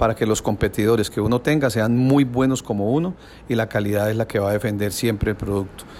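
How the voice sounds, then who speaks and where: A man has a normal speaking voice at a medium pitch. His pace is fairly quick, with ordinary pitch variation. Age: 60s. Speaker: business owner. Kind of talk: interview answers.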